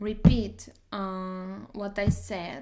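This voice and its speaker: A woman with a Portuguese accent speaks at a very slow pace. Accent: Portuguese accent, noticeable. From Portugal. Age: 30s. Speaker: doctor and study streamer. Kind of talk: casual live stream chat. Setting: live stream. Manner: hesitant, many fillers.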